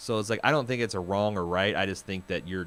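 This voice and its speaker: A man with an American accent talks in a fairly even intonation. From US Midwest. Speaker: podcast host. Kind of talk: casual chat.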